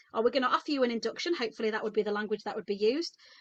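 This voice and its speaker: A woman with a British accent, lively intonation, dry and close sound without echo, against a quiet background. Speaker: midwife. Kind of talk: webinar talk. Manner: fast; animated.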